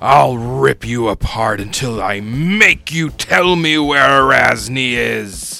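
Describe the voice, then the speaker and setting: A put-on character voice shouts in a raised, projected, raspy voice with lively intonation, while music plays in the background. The pace is fairly slow, with hardly any pauses. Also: man, medium pitch for a man. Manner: shouting, frothing with rage.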